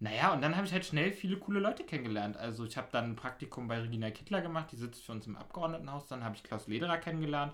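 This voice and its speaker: The voice moves through very wide pitch swings at a very fast pace. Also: man, fairly high pitch for a man. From Berlin (Pankow). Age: 20s. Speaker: podcast host, local politician, DJ. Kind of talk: casual interview chat.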